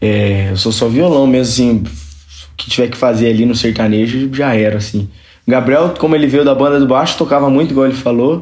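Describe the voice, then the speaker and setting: A man talks in a normal speaking voice at medium pitch. His pace is fairly quick and his intonation lively. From Brazil, Registro, Vale do Ribeira (São Paulo state). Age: 20s. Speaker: sertanejo singer. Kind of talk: casual chat.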